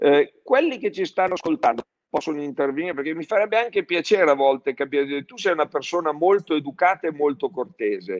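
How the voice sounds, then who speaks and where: Very fast and with lively intonation, a man speaks at a fairly high pitch in a dry, close sound with no echo. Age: 60s. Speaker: plastics distribution executive. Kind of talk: public live-streamed conversation. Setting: live stream.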